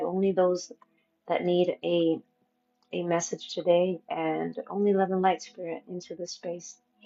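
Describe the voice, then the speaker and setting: Soft-spoken and fairly slow, a woman speaks in a fairly low pitch with a dark, mellow tone and monotone, flat intonation. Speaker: tarot reader. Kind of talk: live-stream tarot reading. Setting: live stream.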